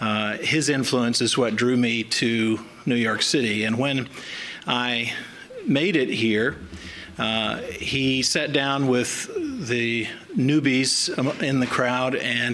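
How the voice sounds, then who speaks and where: A man with a slight Southern US accent talks at a medium pitch and a very slow pace, his intonation fairly even and his loudness very even. The room has an audible echo, and there is noticeable background noise. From US South. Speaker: chief medical examiner. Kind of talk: formal speech. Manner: halting with fillers.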